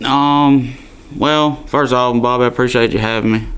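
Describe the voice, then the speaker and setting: Over noticeable background noise and audible room echo, a man with a strong Alabama accent speaks at a moderate pace with fairly even intonation. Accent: Southern (Alabama), strong. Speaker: country singer. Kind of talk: radio interview. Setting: studio.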